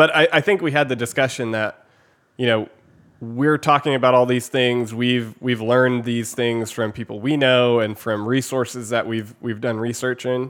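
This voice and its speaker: A man speaks with a plain, everyday voice at medium pitch, using fairly even intonation at a moderate pace. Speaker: podcast co-host. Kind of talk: casual chat. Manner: deadpan, joking.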